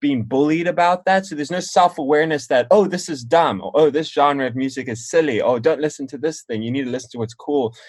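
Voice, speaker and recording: The delivery is very fast, with hardly any pauses and ordinary pitch variation, in a slight South African accent. The background is quiet. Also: man, fairly high pitch for a man. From South Africa, then US from age nine. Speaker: musician. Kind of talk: casual chat.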